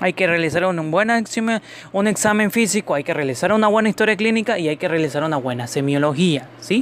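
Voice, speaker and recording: Over noticeable background noise, a man speaks at a very fast pace in a high pitch with lively intonation. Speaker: podcast host, medical professional. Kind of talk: educational podcast monologue. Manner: halting, stumbles over words.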